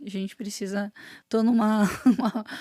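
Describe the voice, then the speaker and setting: Somewhat breathy, this woman's voice sits at a fairly high pitch with a dark, mellow tone. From Palmeira, Paraná, southern Brazil. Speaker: singer. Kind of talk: casual chat.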